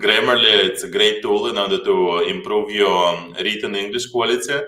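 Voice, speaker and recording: Against noticeable background noise and audible room echo, a man with a strong Slavic accent speaks at a moderate pace. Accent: heavy Slavic. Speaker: startup co-founder. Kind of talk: conference talk.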